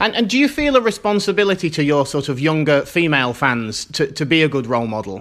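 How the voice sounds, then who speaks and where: A man with a British accent at a fairly high pitch, very wide pitch swings, a very fast pace and hardly any pauses. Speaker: podcast host. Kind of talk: interview.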